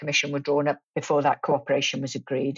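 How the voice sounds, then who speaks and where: A woman with a Welsh accent speaks very fast in a very deep, low pitch. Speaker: politics professor. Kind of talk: interview.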